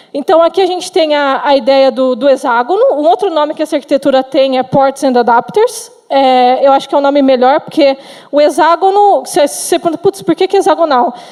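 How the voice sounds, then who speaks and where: A high-pitched woman at a fairly quick pace, lively intonation, very even loudness, hardly any pauses, and noticeable background noise. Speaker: software engineer, conference speaker. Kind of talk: conference talk. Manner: fast; halting, with fillers and restarts.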